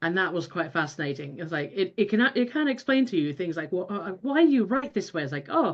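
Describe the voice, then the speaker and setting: The pitch swings very widely throughout. The pace is fairly quick, with hardly any pauses. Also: woman, medium pitch for a woman. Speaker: behavioral scientist. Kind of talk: Q&A discussion.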